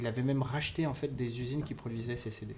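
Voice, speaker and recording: A man at a medium pitch and moderate pace, fairly even in intonation, with noticeable background noise and audible room echo. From Cameroon. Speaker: music licensing executive. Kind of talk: casual interview. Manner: halting.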